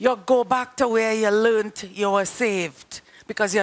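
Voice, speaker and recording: The delivery from this woman comes at a fairly slow pace. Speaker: preacher. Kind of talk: sermon. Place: studio. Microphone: headset.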